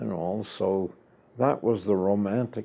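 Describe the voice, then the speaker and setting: This man has a very deep, low voice with vocal fry. He speaks with an American accent and ordinary pitch variation. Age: 90s. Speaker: war veteran. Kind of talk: oral history interview.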